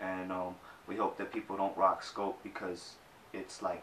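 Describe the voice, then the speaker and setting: Noticeable background noise accompanies a man whose very deep, low voice keeps a moderate pace. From Boston, Jamaica Plain. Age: 20s. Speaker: graphic designer. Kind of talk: interview.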